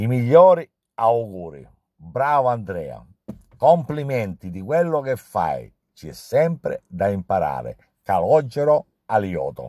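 A dark, mellow voice at a very slow pace with long, frequent pauses, very wide pitch swings and big swings in loudness, dry with no echo against a quiet background. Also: man. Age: 60s. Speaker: pastry chef. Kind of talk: testimonial. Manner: halting. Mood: warm, appreciative. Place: car. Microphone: phone near.

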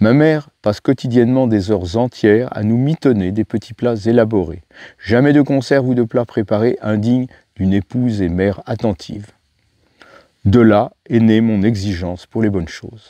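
A man with a dark, mellow tone at a moderate pace, in a dry, close sound with no echo. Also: medium pitch for a man, ordinary pitch variation, quiet background. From France (Paris, then Beauce). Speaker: wild plant expert and author. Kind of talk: reading aloud of memoir.

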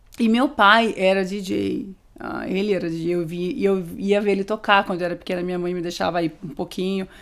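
A woman with a medium-pitched voice talks at a moderate pace with hardly any pauses. Her pitch varies in an ordinary way. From Brazil, interior of São Paulo state (Amparo); São Paulo state, Brazil. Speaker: DJ; guest. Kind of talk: casual interview. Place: studio. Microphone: studio mic.

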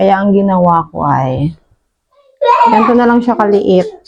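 A woman with an animated tone speaks at a medium pitch and moderate pace, her pitch varying in an ordinary way. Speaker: cooking vlogger. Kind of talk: casual cooking vlog. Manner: chatty, animated.

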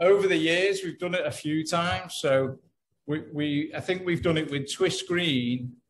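This man's pitch is high, with ordinary variation. He talks at a fairly slow pace over light background noise. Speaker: guest. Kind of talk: interview answer. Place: home room. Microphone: video call.

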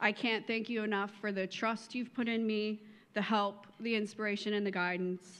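A woman speaks with monotone, flat intonation. Her loudness stays very even. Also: fairly high pitch for a woman, moderate pace. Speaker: volunteer council chair. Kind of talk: speech. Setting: luncheon stage with audience. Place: hall. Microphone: podium.

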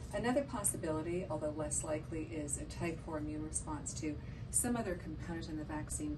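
There is noticeable background noise. Through it, a woman talks at a fairly quick pace. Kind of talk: lecture. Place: office.

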